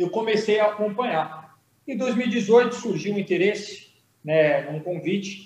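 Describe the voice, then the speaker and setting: Speaking fairly slowly, a man with a high pitch uses ordinary pitch variation. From Brazil, São Paulo coast (Santos). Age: 30s. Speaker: state politician, former military officer. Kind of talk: political interview.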